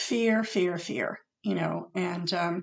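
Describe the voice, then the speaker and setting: Over a quiet background, a woman with vocal fry speaks at a very slow pace and medium pitch, her pitch varying an ordinary amount. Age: 60s. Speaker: acupuncturist and author sharing personal experience. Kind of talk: personal vlog talk to camera. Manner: halting, many fillers.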